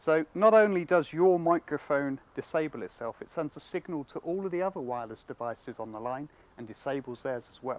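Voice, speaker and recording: A fairly high-pitched man with a British accent, fairly quick and hardly pausing, lively intonation, big swings in loudness, dry close sound with no echo. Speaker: product demonstrator. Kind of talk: product demonstration.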